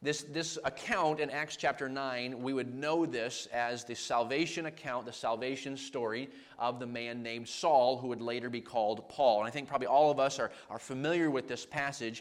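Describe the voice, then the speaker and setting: A man at a moderate pace, with fairly even intonation, hardly any pauses and audible room echo. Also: medium pitch for a man. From Maine, New England. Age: 30s. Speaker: traveling evangelist. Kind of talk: sermon.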